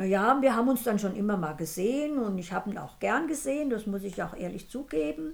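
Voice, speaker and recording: Over noticeable background noise, a woman at a medium pitch talks at a fairly quick pace with hardly any pauses and very wide pitch swings. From Sudetenland, Czech Republic; raised in Hesse. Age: 80s+. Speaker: grandmother. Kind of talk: casual chat. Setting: sitting beside the host. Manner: halting.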